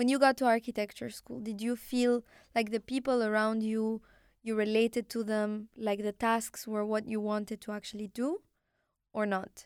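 In an Arabic accent, a woman speaks at a moderate pace with a fairly high pitch and monotone, flat intonation, the recording very clean with a silent background and the sound dry and close with no echo. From Morocco. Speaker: podcast host. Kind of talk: interview.

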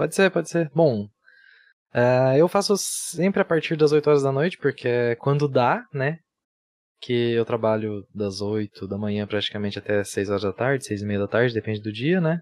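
With a plain, everyday voice, a man speaks at medium pitch and a moderate pace, using lively intonation in a dry, close sound with no echo. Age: 20s. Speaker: streamer and civil engineer. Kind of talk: casual chat.

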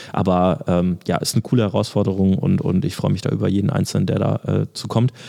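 Noticeable background noise sits behind this man's fairly quick speech. His pitch is fairly low, with ordinary variation. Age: 20s. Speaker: athletic trainer and podcast co-host. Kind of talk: casual chat.

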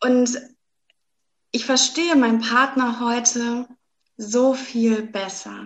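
A woman's high-pitched voice at a very slow pace, broken by long, frequent pauses. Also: fairly even intonation. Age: 20s. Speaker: doctor and astrologer coach. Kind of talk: interview.

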